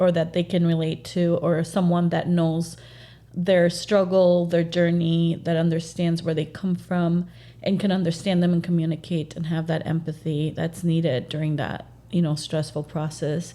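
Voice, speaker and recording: A woman with a Spanish accent, fairly low pitch and a monotone, flat intonation. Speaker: real estate agent. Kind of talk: podcast interview.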